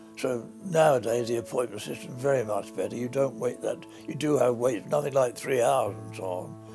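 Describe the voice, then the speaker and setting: A man at medium pitch with ordinary pitch variation and hardly any pauses, music playing in the background. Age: 80s+. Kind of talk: interview answer.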